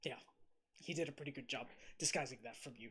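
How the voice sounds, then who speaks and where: Using a put-on character voice, a man rattles off words at a very fast pace and a medium pitch. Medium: actual play. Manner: emotional, agitated.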